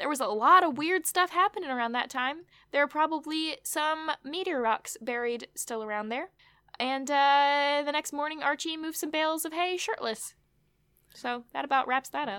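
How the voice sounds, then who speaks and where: Her voice raised and projected, a woman speaks at a moderate pace in a high pitch with ordinary pitch variation and a bright, sharp tone, on a very clean recording with a silent background. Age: 20s. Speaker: podcast host. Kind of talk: casual recap chat.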